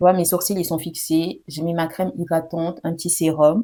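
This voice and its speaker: At a moderate pace, a woman speaks with a fairly low pitch and a dark, mellow tone. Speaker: beauty vlogger. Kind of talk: product review tutorial. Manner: casual, chatty; soft-spoken at times.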